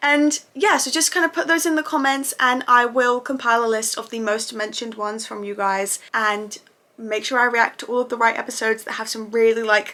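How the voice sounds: A woman speaks at a moderate pace in a fairly high pitch, her tone bright and sharp, with little pitch movement.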